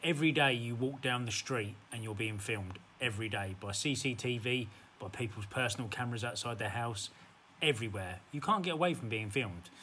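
A man's medium-pitched voice with a bright, sharp tone, a fairly quick pace and light background noise. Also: ordinary pitch variation. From England, West Midlands (Sandwell). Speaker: eBay reseller vlogger. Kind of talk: heated face-to-face argument with another buyer at a car boot sale, filmed on camera. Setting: outdoors at a car boot fair. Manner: defensive and bristling, trading clipped retorts, repeating himself; stammering and rattled, then casual vlog sign-off. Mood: defensive, self-assured. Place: home room. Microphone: phone near.

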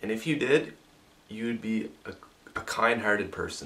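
A man is speaking. His pace is fairly slow. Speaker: vlogger. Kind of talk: casual vlog. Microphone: camera far.

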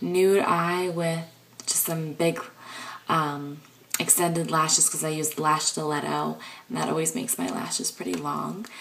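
A woman with a very deep, low pitch and ordinary pitch variation, amid noticeable background noise and audible room echo. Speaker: beauty and lifestyle vlogger. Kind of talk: casual vlog. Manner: chatty, with many filler ums.

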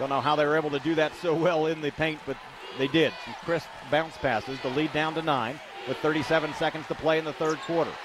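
A man talks at a fairly quick pace and a fairly high pitch. There is noticeable background noise. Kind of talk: live radio sports commentary. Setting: radio broadcast from the arena. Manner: fast, fluent play-by-play, upbeat and steady.

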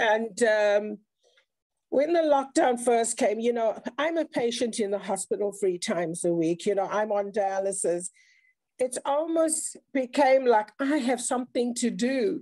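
A woman with a South African accent speaks at a fairly slow pace and a fairly high pitch, her tone dark and mellow and her intonation lively. The background is quiet and the sound is dry with no echo. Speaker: speaker sharing mental health experience; speaker. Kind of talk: online round table talk. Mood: earnest, reflective. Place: home room. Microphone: video call.

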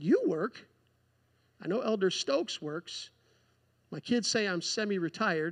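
Against a quiet background, a man with a high voice and lively intonation speaks fairly slowly, leaving long, frequent pauses. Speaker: preacher. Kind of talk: sermon. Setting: church. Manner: earnest, pleading, fervent. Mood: light, joking. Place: church.

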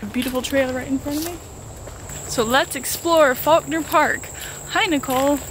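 Here a woman speaks at a high pitch with ordinary pitch variation. The sound is dry with no echo, and background noise is noticeable. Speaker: hiker vlogger. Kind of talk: casual vlog chat. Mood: playful, mock-nervous. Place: forest. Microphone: phone near.

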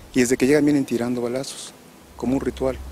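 Light background noise behind a man's voice, with a dry sound and no echo. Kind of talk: interview answer. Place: open country. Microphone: handheld.

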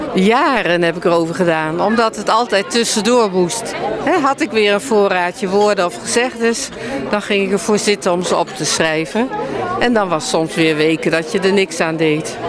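A woman speaks at a moderate pace with noticeable background noise. The sound is dry with no echo. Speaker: book author. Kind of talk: interview answer. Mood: friendly, relaxed. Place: hall. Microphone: handheld.

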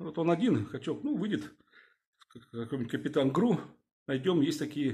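Against a quiet background, a man talks at a fairly quick pace in a somewhat breathy voice with lively intonation. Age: 50s. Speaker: video blogger, former security officer. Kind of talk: video address to viewers. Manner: hesitant, filler-heavy. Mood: indignant, urging. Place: home room. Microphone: phone near.

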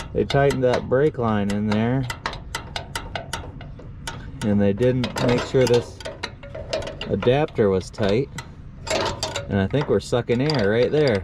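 Fairly slow speech with long, frequent pauses and ordinary pitch variation, dry with no echo, against noticeable background noise. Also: man. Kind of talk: casual repair vlog commentary. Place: garden. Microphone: phone near.

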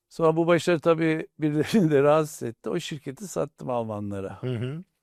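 In a normal speaking voice, a man with fairly high pitch speaks at a moderate pace with lively intonation against a quiet background. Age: 60s. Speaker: industrialist, company chairman. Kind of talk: interview. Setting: studio.

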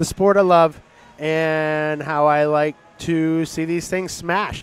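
A man's fairly high, monotone voice with flat intonation, at a very slow pace over music in the background. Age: 40s. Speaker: artist. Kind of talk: casual chat.

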